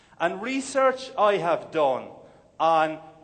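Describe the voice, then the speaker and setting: A man with an Irish accent and very wide pitch swings. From Ireland. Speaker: motivational speaker. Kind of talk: keynote speech. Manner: humorous.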